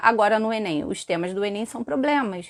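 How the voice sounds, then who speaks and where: At a moderate pace, a woman with an unremarkable speaking voice talks with lively intonation. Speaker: teacher. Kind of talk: live stream lesson. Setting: live stream with chat.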